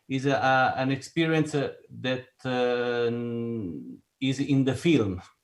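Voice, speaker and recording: A man's fairly high-pitched voice with an Italian accent, ordinary pitch variation and a fairly slow pace. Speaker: film composer. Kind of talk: panel discussion. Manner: halting, searching for words.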